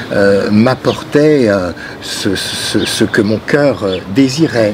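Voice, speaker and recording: Against noticeable background noise, a man with a fairly low pitch and ordinary pitch variation speaks at a very slow pace. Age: 50s. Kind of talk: interview testimony. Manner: halting, many hesitations and repetitions.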